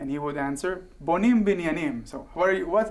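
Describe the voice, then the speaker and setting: This man has an Israeli accent and talks at a fairly quick pace with lively intonation. Some room echo can be heard. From Israel (southern kibbutz). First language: Hebrew. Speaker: guest, former soldier and actor. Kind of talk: interview. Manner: hesitant, many fillers.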